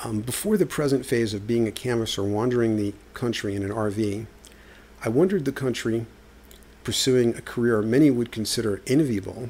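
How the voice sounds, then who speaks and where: A man speaks at a fairly quick pace. His pitch is medium, with ordinary variation. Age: 50s. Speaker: writer. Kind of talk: casual monologue.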